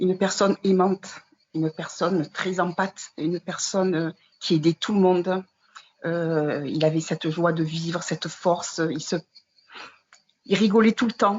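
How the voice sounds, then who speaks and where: A woman with a fairly low pitch talks at a fairly slow pace, with long, frequent pauses. Her intonation stays fairly even. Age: 60s. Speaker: widow and former caregiver. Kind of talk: testimony. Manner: halting, many hesitations.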